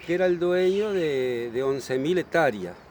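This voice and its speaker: Over noticeable background noise, this man's intonation stays lively. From Uruguay, Montevideo. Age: 70s. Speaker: local resident. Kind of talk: interview. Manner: halting.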